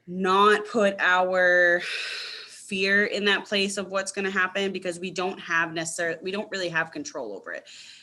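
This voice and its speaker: Noticeable background noise sits behind a woman speaking at a medium pitch. Her intonation stays fairly even at a moderate pace. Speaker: astrology meditation teacher. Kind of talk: casual live-stream talk. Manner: soft-spoken; filler-heavy, casual. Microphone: too quiet for a viewer.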